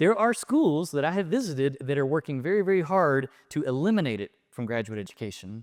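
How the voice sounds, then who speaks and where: In a Southern US accent, a man talks at a fairly quick pace with lively intonation and a fairly high pitch. The sound is dry and close with no echo, in a very clean recording with a silent background. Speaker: professor. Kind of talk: lecture. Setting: stage with audience. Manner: fast; animated.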